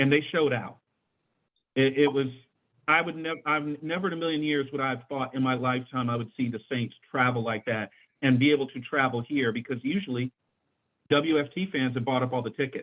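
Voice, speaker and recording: A man with an American accent and an ordinary speaking voice talks at medium pitch. His pace is fairly quick and his intonation fairly even. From Washington DC, Mount Pleasant. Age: 50s. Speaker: sports talk show host. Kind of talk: casual panel discussion.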